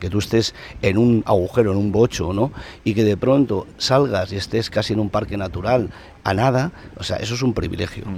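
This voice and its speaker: With a moderate pace, the voice rises and falls with ordinary pitch variation. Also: man, fairly low pitch for a man. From Basque Country, Eibar (Gipuzkoa). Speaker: journalist and former TV presenter. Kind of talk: casual chat. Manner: halting.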